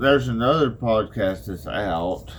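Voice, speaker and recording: With an Arkansas accent, a man speaks very slowly at a fairly low pitch with lively intonation. Audible room echo surrounds his voice. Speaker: podcaster. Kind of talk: casual chat. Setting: barn workshop.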